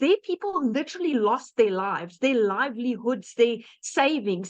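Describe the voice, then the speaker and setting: A woman with a South African accent, at a fairly quick pace. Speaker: webinar presenter, digital marketer. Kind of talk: webinar testimony. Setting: online webinar. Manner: conversational, animated.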